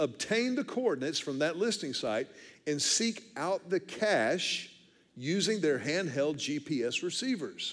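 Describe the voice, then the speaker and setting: The voice moves at a fairly slow pace with an animated tone and very wide pitch swings. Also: man. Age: 50s. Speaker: pastor. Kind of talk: sermon. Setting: church.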